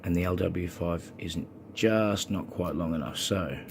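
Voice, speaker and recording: A man speaks slowly in a very deep, low voice that is somewhat breathy. His intonation stays fairly even. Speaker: lock hobbyist. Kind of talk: tutorial explanation to camera.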